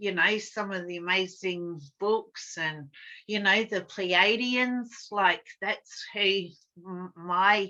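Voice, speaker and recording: At a very slow pace, a woman with a medium pitch and a bright, sharp tone speaks with fairly even intonation and big swings in loudness. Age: 60s. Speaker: drum-making workshop facilitator. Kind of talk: casual chat. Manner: confident.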